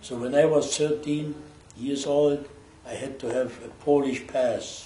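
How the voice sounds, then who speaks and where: A man with a German accent speaks at a fairly slow pace in a flat, monotone delivery and a fairly high pitch, with noticeable background noise and audible room echo. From Germany, Berlin. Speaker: Holocaust survivor. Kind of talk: testimony.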